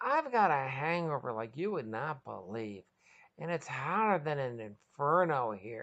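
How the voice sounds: Using a put-on character voice, a woman speaks at a fairly slow pace in an extremely low pitch, whiny and fairly bright in tone, with big pitch swings.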